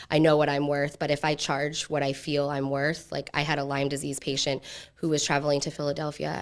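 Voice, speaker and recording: A woman with an American accent speaks at a fairly quick pace in a very deep, low voice with monotone, flat intonation, on a very clean recording with a silent background. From central Pennsylvania. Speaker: direct primary care practitioner and entrepreneur. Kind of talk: pitch Q&A. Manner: halting.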